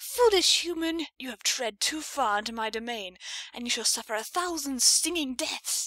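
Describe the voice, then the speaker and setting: The speaker uses a put-on character voice. The delivery comes at a moderate speed. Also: woman, high pitch for a woman. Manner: menacing, theatrical.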